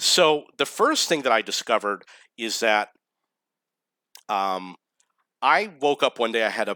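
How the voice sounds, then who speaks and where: In an American accent, a man speaks at a fairly slow pace and medium pitch with lively intonation and a bright, sharp tone. The sound is dry and close with no echo, on a very clean recording with a silent background. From US, New York. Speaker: vlogger. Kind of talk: monologue to camera.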